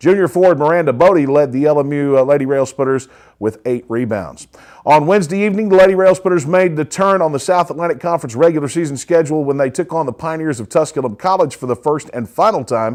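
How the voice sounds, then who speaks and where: A man talks at a very fast pace with lively intonation. His pitch is fairly high, and the background is quiet. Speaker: sports broadcaster. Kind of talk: sports news recap. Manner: occasional stumbles and fillers.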